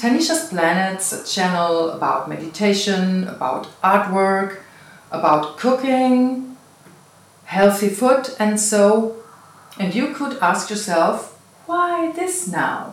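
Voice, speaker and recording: The speaker has a non-native accent and talks at a very slow pace. Noticeable background noise can be heard. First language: not English. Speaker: meditation channel host. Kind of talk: casual interview. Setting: cottage B&B in the Netherlands.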